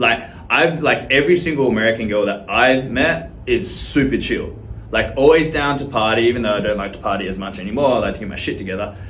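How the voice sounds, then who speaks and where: Talking at a very fast pace with lively intonation, a man with an Australian accent is heard amid audible room echo and noticeable background noise. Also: medium pitch for a man. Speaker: social media creator. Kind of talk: casual to-camera monologue.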